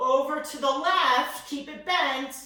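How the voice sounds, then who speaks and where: The voice is loud, with a bright, sharp tone and audible room echo. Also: woman. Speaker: fitness and yoga instructor. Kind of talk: guided workout class.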